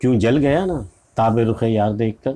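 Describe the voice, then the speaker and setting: Speaking at a fairly slow pace, a man has a dark, mellow tone. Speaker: poetry explainer. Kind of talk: lecture. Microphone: phone near.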